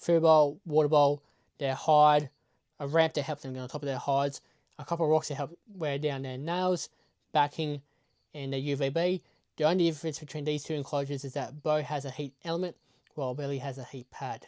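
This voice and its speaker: At a fairly quick pace, a man with an Australian accent speaks at a fairly high pitch in a monotone, flat way, the recording very clean with a silent background and a dry, close sound with no echo. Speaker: reptile keeper and wildlife YouTuber. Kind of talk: tutorial. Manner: quiet.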